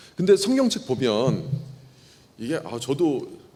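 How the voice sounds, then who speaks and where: A man speaks at a moderate pace with very wide pitch swings. His tone is dark and mellow, with vocal fry. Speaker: pastor. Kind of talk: Bible teaching lecture. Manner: conversational, informal.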